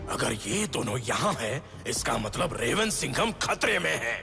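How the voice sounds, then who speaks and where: A man puts on a cartoonish character voice at a moderate pace, with clear background noise behind him. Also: medium pitch for a man. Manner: solemn, oracular.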